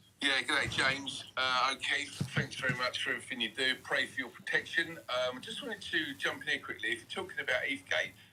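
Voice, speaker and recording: With hardly any pauses, a man talks at a fairly quick pace. Noticeable background noise runs underneath. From England. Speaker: caller. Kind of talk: live call-in conversation. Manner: halting, many fillers.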